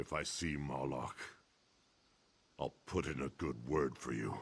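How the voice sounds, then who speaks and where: A man puts on a character voice, growling at a very deep, low pitch. His pace is fairly slow. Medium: video game. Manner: gruff, grumbling.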